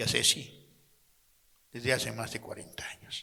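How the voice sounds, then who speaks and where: A man speaks at a fairly slow pace with vocal fry. His tone is bright and sharp. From Mexico, Chetumal (Quintana Roo). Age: 80s+. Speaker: audience member. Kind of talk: testimony.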